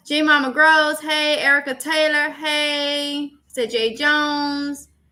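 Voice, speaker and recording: A woman with an American accent speaks in a raised, projected voice. Her tone is bright and sharp. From Mississippi, US South. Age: 30s. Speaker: YouTuber, livestream host. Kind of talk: casual livestream chat, reading comments. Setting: live stream.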